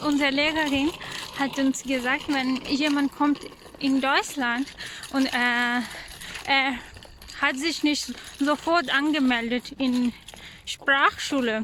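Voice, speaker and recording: A woman with a high pitch speaks very slowly with long, frequent pauses, very even loudness and fairly even intonation over noticeable background noise. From Pakistan. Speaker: vlogger, mother. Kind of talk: casual vlog narration. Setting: outdoors, walking with children. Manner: halting, frequent hesitations.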